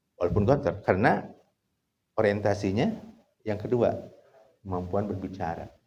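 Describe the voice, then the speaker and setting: A man's voice with audible room echo. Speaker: Islamic scholar teaching trainee clerics. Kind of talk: lecture. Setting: outdoor gathering at fish-pond huts. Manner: casual, mixing Sundanese and Indonesian.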